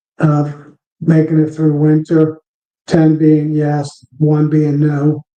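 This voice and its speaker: Dark and mellow in tone, a man's voice sits fairly high in pitch. He speaks at a very slow pace. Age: 60s. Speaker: beekeeper. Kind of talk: live stream chat. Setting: live stream. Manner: casual, halting with fillers.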